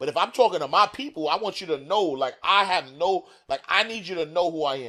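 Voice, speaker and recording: A man with a New York accent speaks loudly at a fairly quick pace, his high-pitched voice bright and sharp with lively intonation. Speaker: author and financial educator. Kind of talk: interview conversation. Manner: fast.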